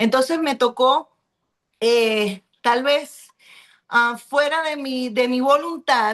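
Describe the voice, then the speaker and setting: A woman with a high pitch at a very slow pace. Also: ordinary pitch variation. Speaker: pastor and reading club host. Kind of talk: book club discussion.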